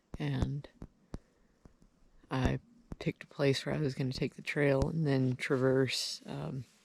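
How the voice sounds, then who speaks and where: Speaking at a fairly slow pace with long, frequent pauses, a woman uses a very deep, low pitch, fairly even intonation, vocal fry, and big swings in loudness. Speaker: hunter vlogger. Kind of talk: video diary.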